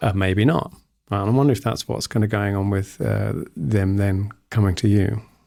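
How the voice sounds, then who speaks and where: A man speaks at a moderate pace. His tone is dark and mellow, and his pitch is fairly low. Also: ordinary pitch variation. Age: middle-aged. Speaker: podcast host. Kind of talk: interview conversation. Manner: halting.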